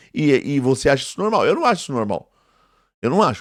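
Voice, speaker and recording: A man with a fairly high voice talks on a very clean recording, the background silent. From Brazil, São Paulo East Zone periphery. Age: 40s. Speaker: theology professor and preacher. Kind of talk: indignant video monologue. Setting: live video. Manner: emphatic, repetitive; intense speaking style, same as teaching and preaching.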